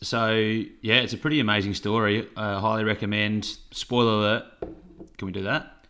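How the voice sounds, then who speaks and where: A man's fairly low voice with an Australian accent, bright and sharp in tone, at a moderate pace with fairly even intonation. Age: 20s. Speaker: podcast co-host. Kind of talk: casual chat.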